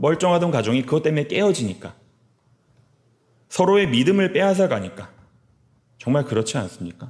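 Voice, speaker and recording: Fairly quick yet broken by long, frequent pauses, a man's fairly high-pitched voice swings very widely in pitch, keeps a very even loudness, and shows vocal fry. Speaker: pastor. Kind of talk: sermon. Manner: fast.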